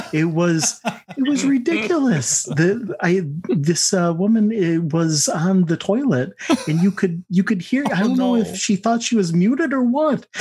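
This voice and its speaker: Amid noticeable background noise, a man with an American accent speaks at a moderate pace and high pitch, with very wide pitch swings and very even loudness. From US Northeast (Finger Lakes, upstate New York). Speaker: customer service coordinator, podcast guest. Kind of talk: casual chat. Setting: video call, camera off.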